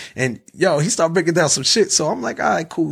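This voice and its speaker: Pitched fairly high, a man with an American accent shows vocal fry and ordinary pitch variation. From New Jersey. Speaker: podcaster. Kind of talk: casual chat.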